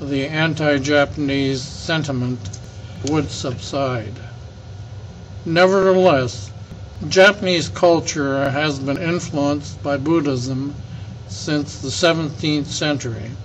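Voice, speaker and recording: With an American accent, a man talks at a very slow pace with ordinary pitch variation and long, frequent pauses, amid audible room echo and noticeable background noise. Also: fairly high pitch for a man. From California, Alameda. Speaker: elder recounting local history. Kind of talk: oral history interview. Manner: halting, with frequent fillers.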